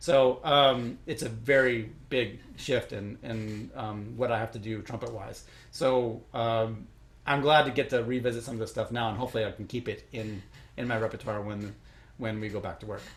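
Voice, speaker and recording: A man at medium pitch with a slight Chicago accent speaks at a moderate pace, somewhat breathy, with fairly even intonation. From Chicago, US Midwest. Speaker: orchestral trumpet player. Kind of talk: interview Q&A. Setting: recorded at home, online Q&A. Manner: halting, many fillers.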